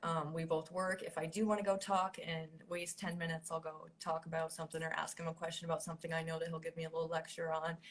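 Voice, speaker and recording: A woman with an American accent speaks in a somewhat breathy, fairly low voice. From Maine, US. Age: 30s. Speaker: welder. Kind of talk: interview. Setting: video call. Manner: hesitant, many fillers.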